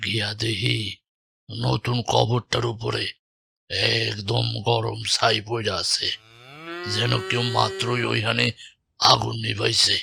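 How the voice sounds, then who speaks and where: A man does a cartoonish character voice at a fairly low pitch. He speaks at a fairly slow pace. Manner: calm, pious.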